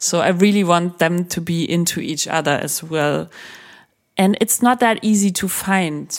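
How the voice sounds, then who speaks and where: In a German accent, a woman speaks fairly slowly at a fairly low pitch with ordinary pitch variation. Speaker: sex journalist and author. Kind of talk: interview conversation.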